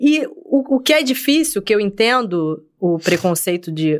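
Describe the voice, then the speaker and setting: Her pitch swings very widely as the woman speaks on a very clean recording with a silent background. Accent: Rio de Janeiro. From Rio de Janeiro, West Zone (Senador Camará). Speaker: military police officer. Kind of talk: casual chat.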